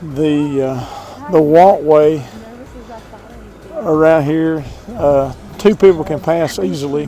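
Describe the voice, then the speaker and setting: Speaking at a very slow pace with long, frequent pauses, a man uses a fairly high pitch. Audible room echo and noticeable background noise fill the recording. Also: ordinary pitch variation. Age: 60s. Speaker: travel vlogger. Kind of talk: casual vlog narration. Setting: outdoors on lighthouse top. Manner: hesitant with many filler uhs.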